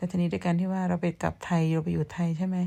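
A woman's somewhat breathy voice, dark and mellow in tone, with monotone, flat intonation, on a very clean recording with a silent background. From Thailand, Surin province. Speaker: vlogger. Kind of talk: casual vlog chat. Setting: outdoors behind the house.

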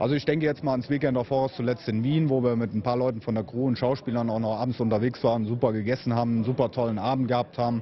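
A man rattles along at a very fast pace with hardly any pauses, fairly even intonation and very even loudness over light background noise. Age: 30s. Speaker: event host. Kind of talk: interview. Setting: at a convention venue. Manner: hesitant, many fillers. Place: hall.

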